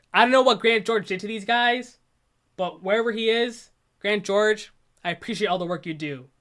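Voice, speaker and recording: Speaking at a fairly quick pace, a woman with a medium pitch uses lively intonation on a very clean recording with a silent background. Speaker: YouTuber commenting on own video. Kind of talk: casual stream commentary. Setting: livestream.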